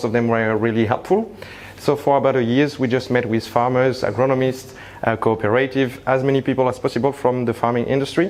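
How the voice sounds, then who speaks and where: A man speaks at a fairly quick pace with a slight French accent, his medium pitch held in fairly even intonation and very even loudness over noticeable background noise. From France (Paris). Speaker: tech company founder. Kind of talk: conference presentation. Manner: hesitant, many fillers.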